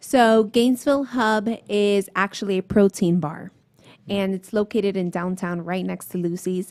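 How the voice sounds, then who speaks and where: A woman with a Miami accent, at a medium pitch and moderate pace, with fairly even intonation. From Miami, Florida. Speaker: small business owner. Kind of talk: casual interview. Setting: restaurant with diners around.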